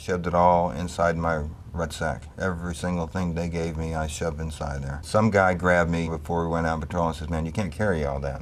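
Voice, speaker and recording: A man's very deep, low voice at a fairly quick pace with hardly any pauses, fairly even intonation and big swings in loudness, with audible room echo and noticeable background noise. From New York City, Bronx. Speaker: Vietnam war veteran. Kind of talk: interview testimony.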